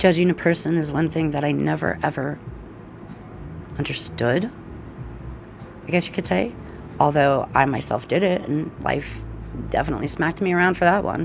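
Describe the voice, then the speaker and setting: Through noticeable background noise, a woman with very deep, low pitch and lively intonation speaks at a moderate pace, with long, frequent pauses. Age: 40s. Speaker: energy and oracle reader. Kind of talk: casual spiritual talk to camera.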